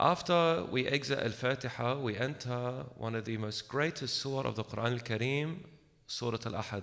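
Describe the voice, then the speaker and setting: A man speaks at a moderate pace with medium pitch and ordinary pitch variation. The recording is very clean, with a silent background. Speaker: religious lecturer. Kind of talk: religious lecture. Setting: room with small audience, echo. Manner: soft-spoken.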